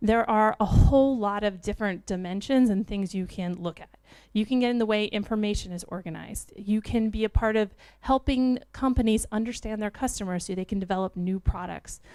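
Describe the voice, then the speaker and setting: Over a silent background in a very clean recording, a woman with a dark, mellow tone speaks at medium pitch and a fairly quick pace, with ordinary pitch variation. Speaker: UX design leader, conference speaker. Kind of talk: conference talk. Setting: stage with audience.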